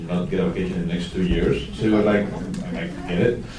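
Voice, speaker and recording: Over noticeable background noise and audible room echo, a man with a Spanish accent speaks in a fairly low voice. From Spain. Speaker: 3D film expert, panel moderator. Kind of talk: panel Q&A moderation.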